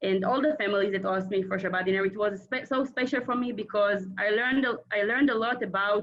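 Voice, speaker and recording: In an Israeli accent, a woman speaks at a very fast pace with hardly any pauses, very even loudness and a medium pitch with ordinary variation. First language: Hebrew. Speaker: former Israeli community emissary. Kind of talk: casual reunion chat. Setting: video call. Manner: halting.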